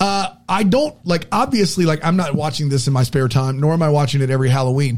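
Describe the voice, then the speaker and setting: A man talks at a very fast pace with very even loudness and ordinary pitch variation. His fairly high voice is somewhat breathy. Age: 40s. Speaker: podcast co-host. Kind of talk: casual chat.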